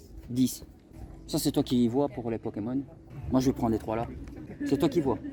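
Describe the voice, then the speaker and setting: A man of medium pitch speaks in a dark, mellow tone that is somewhat breathy. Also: fairly even intonation, moderate pace. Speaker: YouTuber, retro game collector. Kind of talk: vlog and casual haggling at flea market. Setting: flea market outdoors.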